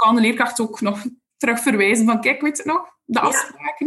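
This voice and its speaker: With a Flemish accent, a woman talks at a moderate pace in a fairly high, somewhat breathy voice with lively intonation. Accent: Flemish Dutch. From Belgium, Ghent area. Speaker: special education support teacher. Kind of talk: interview.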